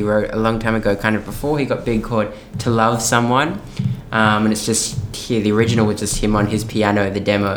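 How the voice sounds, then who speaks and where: A man with an Australian accent talks at a fairly quick pace and a fairly low pitch, in a flat monotone at very even loudness. Room echo is audible, and background noise is noticeable. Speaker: musical theatre performer. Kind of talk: interview conversation.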